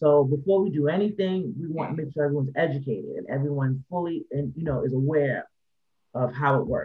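A man's plain, everyday voice at a fairly high pitch, with an American accent, ordinary pitch variation and a fairly quick pace. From New York City, the Bronx. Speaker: artist and songwriter, label owner. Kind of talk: casual interview.

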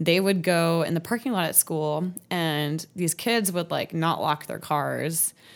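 Recorded very cleanly against a silent background, a normal speaking voice with an American accent moves at a fairly slow pace with hardly any pauses and ordinary pitch variation. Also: woman, fairly low pitch for a woman. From Washington State, Seattle area. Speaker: podcast guest sharing personal story. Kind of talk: casual storytelling interview.

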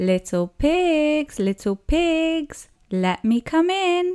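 In an exaggerated character voice, a woman draws out her words very slowly, her high pitch leaping across a very wide range. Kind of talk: storybook narration. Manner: growling.

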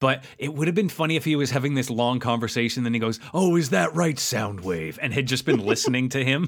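A passage is read aloud. The voice is an unforced reading voice.

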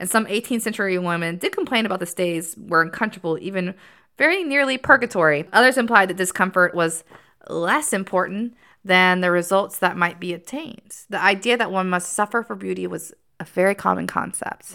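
At a fairly quick pace, a woman talks at a medium pitch with vocal fry. Her tone is bright and sharp. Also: ordinary pitch variation, very clean recording, silent background. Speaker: podcast co-host. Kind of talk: casual chat.

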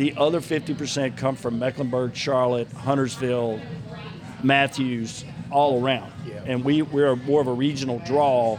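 Music plays in the background as a man speaks. His pace is moderate and his intonation fairly even. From North Carolina, Gaston County area. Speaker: mayor and bar owner. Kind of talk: casual chat. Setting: bar/restaurant venue.

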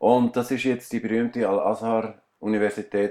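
Against a quiet background, a man speaks at a medium pitch. His pace is fairly slow. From Switzerland, Aargau. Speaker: musician and painter. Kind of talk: interview. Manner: halting.

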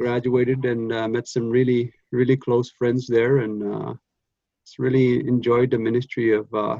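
A man's medium-pitched voice with a dark, mellow tone, moderate pace, monotone, flat intonation and big swings in loudness. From northern Alberta, Canada (Cree First Nation). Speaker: pastor. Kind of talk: interview, personal testimony. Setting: video call. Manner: halting, many fillers.

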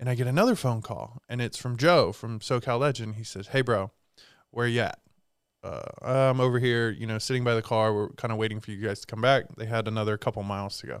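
Delivered at a fairly quick pace with fairly even intonation, it is an ordinary speaking voice. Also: man, medium pitch for a man. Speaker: co-host, small business co-owner. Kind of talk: casual chat.

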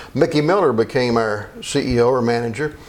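A man with a Kentucky accent at a medium pitch and fairly slow pace, fairly even intonation, audible room echo and noticeable background noise. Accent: Kentucky, US South. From Kentucky (Meade County / Elizabethtown area). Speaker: attorney. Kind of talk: interview.

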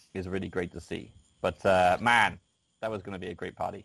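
In a very clean recording with a silent background, a man with an English accent talks at a very fast pace. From rural England, UK. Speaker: craft beer data analyst. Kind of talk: casual interview chat.

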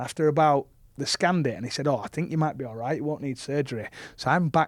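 Speaking very fast in a Yorkshire accent, a man has a fairly high pitch and ordinary pitch variation. The recording is very clean, with a silent background and a dry, close sound with no echo. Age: 30s. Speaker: professional rugby league player. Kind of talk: casual interview chat.

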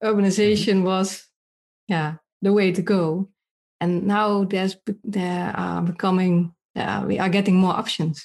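A woman with a Dutch accent speaks at a medium pitch and a moderate pace. Her intonation is monotone and flat, with long, frequent pauses. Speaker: podcast host and urban redevelopment speaker. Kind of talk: interview, podcast intro.

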